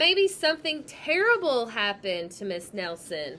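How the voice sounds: The clip features a natural reading voice. The speaker reads throughout in a natural reading voice.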